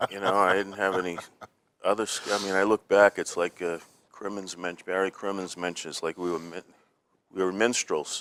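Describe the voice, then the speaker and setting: A man with a very deep, low voice speaks at a moderate pace in monotone, flat intonation. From Boston (South Boston). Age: 60s. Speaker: comedian. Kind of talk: casual chat.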